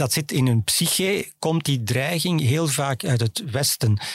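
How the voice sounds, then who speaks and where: At a very slow pace, a somewhat breathy man speaks with ordinary pitch variation. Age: 60s. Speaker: foreign affairs journalist. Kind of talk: interview. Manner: calm, composed; hesitant, with fillers.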